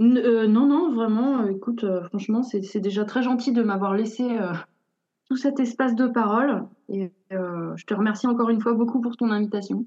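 Her tone dark and mellow, a woman with a fairly high pitch speaks at a moderate pace. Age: 40s. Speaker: author and content creator on budgeting. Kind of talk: interview. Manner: animated; halting, repeats words.

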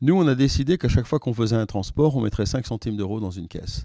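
Very fast male speech with a dark, mellow tone on a very clean recording with a silent background. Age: 60s. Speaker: logistics company executive. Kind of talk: interview. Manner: halting.

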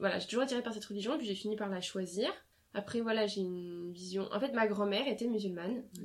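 Her pitch medium and varying in an ordinary way, a woman is speaking. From France. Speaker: primary school teacher, former lawyer. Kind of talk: interview. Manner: hesitant, frequent fillers.

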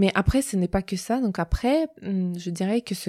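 In a very clean recording with a silent background and a dry, close sound without echo, a woman of medium pitch speaks at a fairly slow pace with a dark, mellow tone and ordinary pitch variation. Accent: Russian. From Russia. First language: Russian (speaking French). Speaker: psychologist. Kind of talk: interview testimony. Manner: halting, many hesitations.

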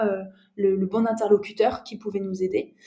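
At a fairly quick pace, a woman speaks in a somewhat breathy voice with a dark, mellow tone and monotone, flat intonation. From France, Alsace (Strasbourg). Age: 30s. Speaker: entrepreneur, co-founder of a nutrition coaching company. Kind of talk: podcast interview. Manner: hesitant, many fillers.

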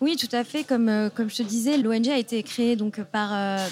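This woman's voice sits fairly high with ordinary pitch variation. She speaks at a moderate pace. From southern France, Mediterranean coast. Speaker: NGO communications officer. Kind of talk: interview conversation. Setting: café. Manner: halting, with fillers.

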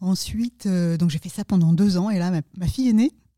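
Recorded very clean with a silent background, the sound is dry and close with no echo. A woman speaks fairly quickly at medium pitch in a dark, mellow, somewhat breathy tone. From France / Tunisia (Franco-Tunisian). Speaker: corporate executive. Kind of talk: interview. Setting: office.

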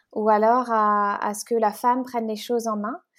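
In a plain, everyday voice, a woman with a fairly high pitch speaks with fairly even intonation over a very clean recording with a silent background. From French-Swiss border near Geneva. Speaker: relationship coach. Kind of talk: podcast interview.

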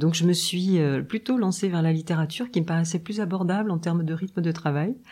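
Dark, mellow tone at a moderate pace with ordinary pitch variation. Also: woman. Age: 50s. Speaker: acupuncturist, traditional Chinese medicine therapist. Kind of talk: interview, casual conversation. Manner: hesitant, many fillers.

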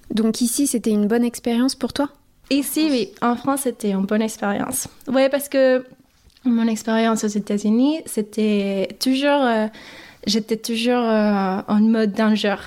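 Pitched fairly high, a woman speaks at a fairly slow pace with long, frequent pauses. Her intonation is fairly even and her loudness very even. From Mexico, later US Midwest (Michigan, Chicago). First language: English and Spanish (speaking French). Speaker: migrant woman interviewee. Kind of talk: interview. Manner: halting, with repetitions and hesitations.

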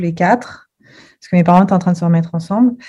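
A woman speaks at a fairly low pitch in a dark, mellow tone. Her voice is somewhat breathy. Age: 40s. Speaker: Pilates teacher and Reiki master. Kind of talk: testimony. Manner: gentle.

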